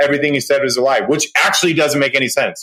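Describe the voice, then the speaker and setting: The man's delivery has an animated tone. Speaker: podcast host. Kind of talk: casual chat. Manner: loud.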